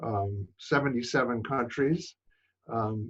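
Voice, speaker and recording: The speaker has an American accent and sounds somewhat breathy. The pace is fairly slow. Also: man. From New York City. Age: 70s. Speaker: photographer. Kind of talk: interview. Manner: halting, many fillers.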